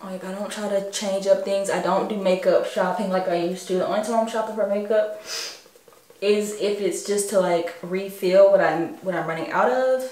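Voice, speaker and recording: A woman speaks at a moderate pace with fairly even intonation, and audible echo fills the room. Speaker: beauty vlogger. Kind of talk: casual makeup tutorial chat.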